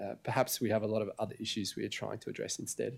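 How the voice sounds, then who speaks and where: A man with an Australian accent talks at a very fast pace in a medium pitch, with monotone, flat intonation. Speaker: media analytics executive. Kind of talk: conference presentation.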